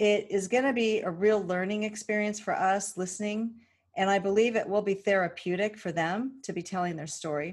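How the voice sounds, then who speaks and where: Over a silent background in a very clean recording, a woman with a West Coast accent speaks at a fairly quick pace with a medium pitch and fairly even intonation. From California. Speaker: podcast host, financial advocate. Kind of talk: casual monologue.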